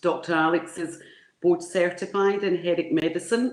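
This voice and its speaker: Here is a woman with a Glasgow accent. Her voice is fairly low, and her pace is moderate. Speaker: conference moderator. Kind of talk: speaker introduction. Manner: halting.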